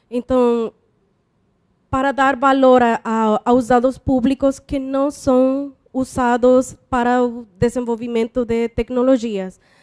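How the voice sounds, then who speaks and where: Flat and monotone, the speech moves at a very slow pace, with a dry, close sound and no echo. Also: woman, high pitch for a woman. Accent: non-native. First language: not Portuguese (speaking Portuguese). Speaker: doctoral student. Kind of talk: Q&A question at a conference panel. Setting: conference panel with audience.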